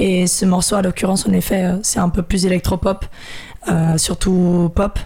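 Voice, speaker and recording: There is noticeable background noise behind a woman's voice. She speaks at a medium pitch and a moderate pace. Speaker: beatboxer and singer. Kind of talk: casual interview.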